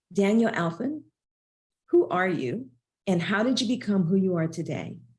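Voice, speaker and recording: A woman's somewhat breathy voice at medium pitch, moderate pace and lively intonation, broken by long, frequent pauses. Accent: Southern US. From US South. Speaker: podcast host. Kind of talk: podcast interview.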